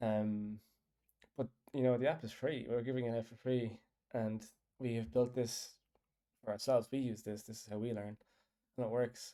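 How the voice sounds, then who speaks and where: A man with a strong Irish accent and a dark, mellow tone, taking long, frequent pauses. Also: medium pitch for a man, fairly even intonation, moderate pace. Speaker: app developer. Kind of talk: casual chat. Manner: rambling, hesitant.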